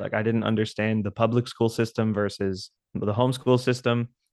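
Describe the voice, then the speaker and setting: A man speaks in an American accent at a fairly slow pace with monotone, flat intonation. The sound is dry and close, with no echo. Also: quiet background. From South Texas. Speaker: metal band drummer. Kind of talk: casual interview chat. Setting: remote call. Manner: halting, repeats words.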